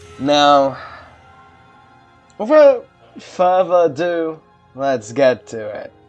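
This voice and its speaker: Over music in the background, the speaker goes at a very slow pace with long, frequent pauses. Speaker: let's play gamer. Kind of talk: casual gameplay commentary.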